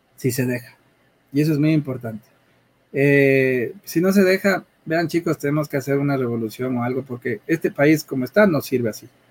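The speaker is a man with a fairly high pitch. He keeps a moderate pace with ordinary pitch variation. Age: middle-aged. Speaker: tech entrepreneur. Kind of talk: interview. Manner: halting, repeats words.

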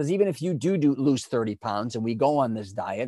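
On a very clean, dry, close recording with no echo and a silent background, a man with an American accent uses an unremarkable speaking voice at a medium pitch, talking fairly quickly with lively intonation. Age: 50s. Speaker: image consultant. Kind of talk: casual chat.

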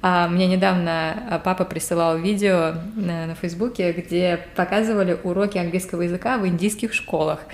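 A woman speaks in an ordinary speaking voice at a medium pitch. Her pace is fairly slow and her intonation fairly even. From Saint Petersburg, Russia. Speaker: podcast co-host. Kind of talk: casual chat.

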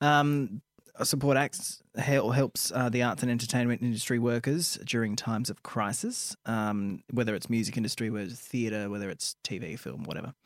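With a normal speaking voice, a man speaks at a medium pitch and moderate pace with ordinary pitch variation and hardly any pauses, the sound dry and close with no echo. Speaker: radio co-host. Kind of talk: casual banter, radio show. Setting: radio studio. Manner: sarcastic, chatty.

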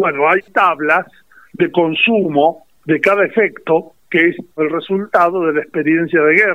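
A man with a high-pitched voice speaks at a fairly slow pace, his loudness very even. His intonation stays fairly level. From Azul, Buenos Aires province, Argentina. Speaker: retired army officer, war veteran. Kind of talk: interview testimony. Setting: phone call.

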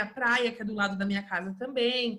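With a bright, sharp tone, a woman talks with ordinary pitch variation. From interior of Rio de Janeiro state, Brazil. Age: 30s. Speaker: English teacher and home decor influencer. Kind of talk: casual interview chat.

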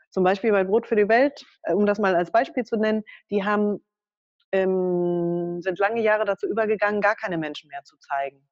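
At a moderate pace, a woman with a plain, everyday voice speaks at a medium pitch with ordinary variation and big swings in loudness, in a dry, close sound with no echo. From Germany. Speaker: political education worker and author. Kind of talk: interview.

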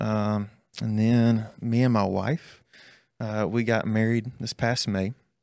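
Monotone, flat intonation from a man with a Southern US accent and fairly low pitch, on a very clean recording with a silent background. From Alabama (north of Birmingham). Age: 20s. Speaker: student ministry pastor. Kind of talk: casual chat. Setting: studio.

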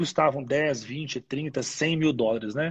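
A somewhat breathy man talks at a very slow pace, fairly high in pitch, with ordinary pitch variation. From Brazil, Minas Gerais (Ipatinga). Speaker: dentist and university research scientist. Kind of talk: interview on a live stream. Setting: online live broadcast. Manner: halting, many repeated fillers.

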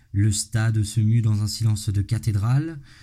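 A man's somewhat breathy voice, dark and mellow in tone and fairly low in pitch, at a fairly slow pace. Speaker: podcast host. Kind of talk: scripted narration. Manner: animated.

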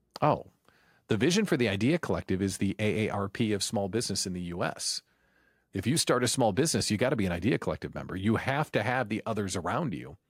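Talking at a very fast pace with lively intonation, a man uses a fairly low voice in a very clean recording with a silent background. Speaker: business coach and radio host. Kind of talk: interview.

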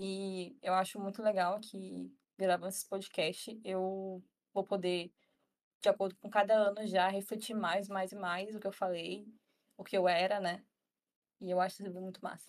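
At a moderate pace, a woman speaks with monotone, flat intonation and long, frequent pauses. Her loudness swings widely. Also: medium pitch for a woman. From northern Brazil, Tocantins (Araguaína). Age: 20s. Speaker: psychology student. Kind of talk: casual chat.

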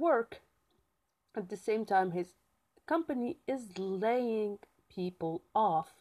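A woman speaks with very wide swings in pitch and a dark, mellow tone. The sound is dry and close, with no echo. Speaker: podcaster. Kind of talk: casual solo podcast. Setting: solo podcast. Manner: animated, chatty.

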